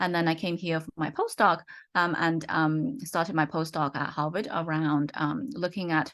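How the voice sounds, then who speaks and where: A woman talks with a slight British accent at a moderate pace. Her pitch is fairly low. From UK. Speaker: economist and researcher. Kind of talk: interview. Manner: halting, many fillers.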